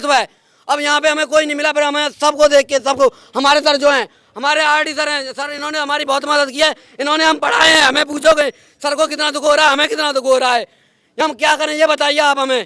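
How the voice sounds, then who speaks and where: A man's raised, projected voice with an extremely high pitch and a bright, sharp tone. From India, Mathura district, Uttar Pradesh. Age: 20s. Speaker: protesting exam aspirant. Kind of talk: street interview, emotional complaint. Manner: animated.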